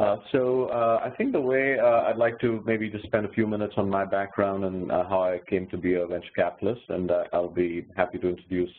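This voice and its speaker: A man speaks in an Indian accent at a fairly low pitch with ordinary pitch variation. He talks at a fairly quick pace with hardly any pauses. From India (Himachal roots). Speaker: venture capitalist. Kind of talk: interview answer. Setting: home office, video call.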